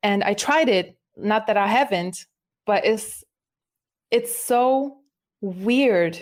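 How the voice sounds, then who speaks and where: A woman with a German accent at a fairly high pitch, very slow with long, frequent pauses, ordinary pitch variation and very even loudness, in a very clean recording with a silent background. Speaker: musician. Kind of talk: casual chat.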